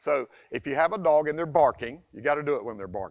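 With an animated tone and a fairly high pitch, a man talks at a fairly quick pace against a quiet background. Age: 60s. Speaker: dog trainer. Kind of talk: tutorial. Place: forest. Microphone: lapel.

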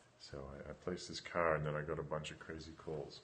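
This man speaks at a moderate pace. His very deep, low voice stays monotone and flat. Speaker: meditation teacher. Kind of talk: guided meditation, live broadcast with brief spoken intro and outro. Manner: casual, chatty before starting. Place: home room. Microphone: phone near.

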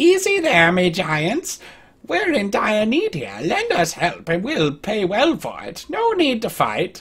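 A female-sounding, put-on character voice speaks at a fairly high pitch for a woman. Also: fairly slow pace. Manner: pleading.

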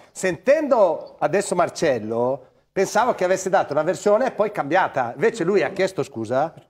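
A man speaks at a moderate pace in a high voice. His pitch swings very widely, and the background is quiet. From northern Italy, Crema; Italy. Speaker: former footballer, football pundit; football pundit. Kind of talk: studio panel discussion. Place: studio. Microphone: lapel.

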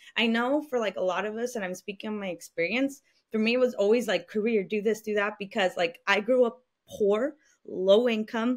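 The background is quiet as a woman talks fairly quickly. Her voice is fairly high, with ordinary pitch variation. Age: 20s. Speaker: podcast host and college coach; podcast guest. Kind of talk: casual interview. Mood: reflective, open. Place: home room. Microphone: studio mic.

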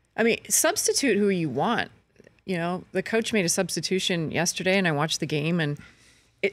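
The voice has a Canadian accent, and the sound is dry with no echo. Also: woman. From Canada, Brockville, Ontario; Ontario, Canada. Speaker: sports reporter. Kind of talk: casual chat. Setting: studio. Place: studio. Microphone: studio mic.

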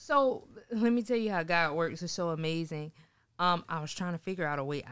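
A woman with an American accent, fairly low pitch, lively intonation, big swings in loudness and a fairly quick pace, over a quiet background. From Sumter, South Carolina; South Carolina. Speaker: mortgage lender and photographer; guest. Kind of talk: interview. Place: studio. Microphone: studio mic.

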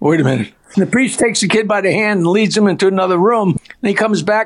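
This man talks at a very fast pace in a high pitch, with ordinary pitch variation. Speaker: comedian. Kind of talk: joke telling. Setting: phone call.

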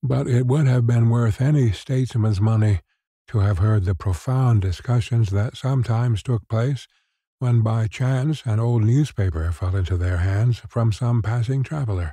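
In a very clean recording with a silent background, a somewhat breathy man with a dark, mellow tone keeps a moderate pace and very even loudness. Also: medium pitch for a man, ordinary pitch variation. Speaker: sleep story host and narrator. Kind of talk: sleep story reading.

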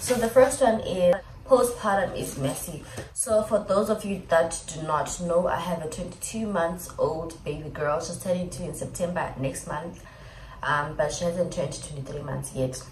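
A woman speaks fairly slowly with a fairly low pitch. Audible room echo and light background noise are present. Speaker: vlogger. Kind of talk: casual vlog chat. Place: home room. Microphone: phone near.

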